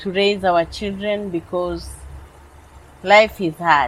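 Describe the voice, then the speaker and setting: A woman talks very slowly, her medium pitch showing ordinary variation. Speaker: Kibera resident, single mother. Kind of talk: documentary interview.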